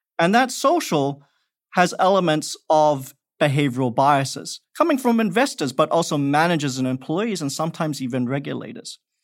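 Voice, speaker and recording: Against a silent background on a very clean recording, a man with an Australian accent speaks at a moderate pace, with a fairly high pitch and lively intonation. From Perth, Australia. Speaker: investment expert, former professor. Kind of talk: interview.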